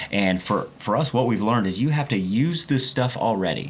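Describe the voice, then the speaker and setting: Over noticeable background noise, a man with an American accent and medium pitch speaks at a moderate pace with lively intonation. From Oklahoma, Oklahoma City area. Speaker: car builder and TV personality. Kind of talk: casual interview chat.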